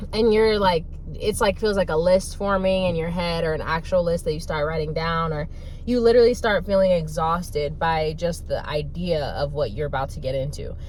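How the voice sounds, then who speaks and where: With audible room echo, a woman speaks in an animated tone at a fairly low pitch with ordinary pitch variation. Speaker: online course creator and manifestation coach. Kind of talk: casual monologue vlog. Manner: fast.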